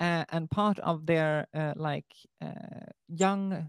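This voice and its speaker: In a Swedish accent, a woman speaks at a very slow pace with a very deep, low pitch and fairly even intonation. The recording is very clean with a silent background, and the sound is dry and close with no echo. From Sweden. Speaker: student teacher. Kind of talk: casual interview chat.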